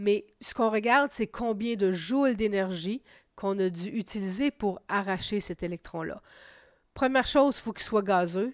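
An unremarkable speaking voice from a woman of medium pitch, with ordinary pitch variation and a moderate pace, on a very clean recording with a silent background. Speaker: science teacher. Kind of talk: lecture.

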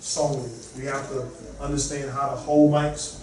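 With audible room echo, a man of medium pitch and slightly mellow tone talks at a moderate pace with little pitch movement.

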